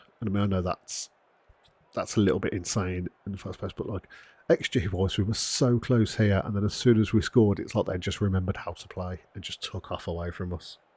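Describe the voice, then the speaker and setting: The voice is quiet and somewhat breathy, moving at a fairly quick pace. The recording is very clean against a silent background. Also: man, fairly low pitch for a man. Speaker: gaming youtuber. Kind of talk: gameplay commentary. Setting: home recording at night. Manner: quiet, subdued; animated.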